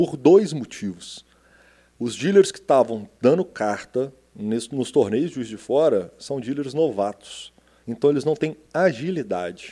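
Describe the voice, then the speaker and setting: His tone is dark and mellow, and this man's pitch sits fairly high for a man, with lively intonation. He talks at a fairly slow pace with big swings in loudness. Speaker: podcast co-host. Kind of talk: casual chat. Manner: jokey, relaxed.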